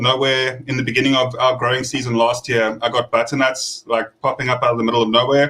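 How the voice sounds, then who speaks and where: Bright and sharp in tone, a man speaks monotone and flat at a medium pitch and a fairly quick pace. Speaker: gardening youtuber. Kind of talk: casual chat.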